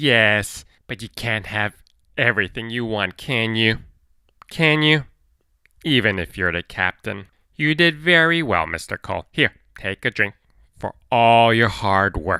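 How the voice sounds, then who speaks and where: In a put-on character voice with a low pitch, the speaker goes fairly slowly with long, frequent pauses on a very clean recording with a silent background. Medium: read story. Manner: oily, falsely polite.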